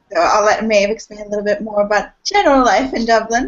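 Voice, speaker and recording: The speaker talks with an American accent and fairly even intonation. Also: woman. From United States. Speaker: student union officer. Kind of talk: informational talk. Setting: video call.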